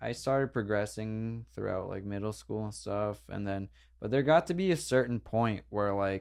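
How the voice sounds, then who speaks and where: A man with an American accent has a normal speaking voice, fairly low in pitch with ordinary pitch variation, at a moderate pace against a quiet background. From New Jersey (Denville). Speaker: pro skateboarder. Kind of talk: casual podcast interview.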